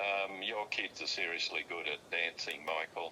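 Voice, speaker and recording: The pace is fairly slow. A man talks in an Australian accent. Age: 70s. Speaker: father of the host. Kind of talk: casual chat. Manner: halting, many fillers and repetitions.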